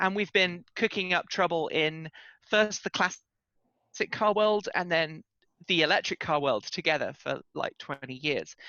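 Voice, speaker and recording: This woman's voice is fairly low in pitch with ordinary variation. She talks at a moderate pace. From Britain. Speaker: journalist and podcast host. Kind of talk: interview conversation. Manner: animated.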